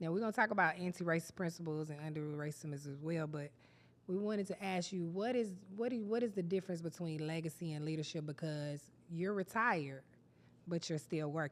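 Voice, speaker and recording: A woman with a plain, everyday voice speaks at a fairly quick pace, her pitch fairly low with ordinary variation. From Texas, Austin. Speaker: podcast host. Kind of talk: interview. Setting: studio.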